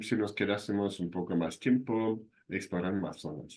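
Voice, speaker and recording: Speaking at a moderate pace, a man with a fairly low pitch has a slight German accent. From southern Germany. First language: German (speaking Spanish). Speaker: university lecturer. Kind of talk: lecture.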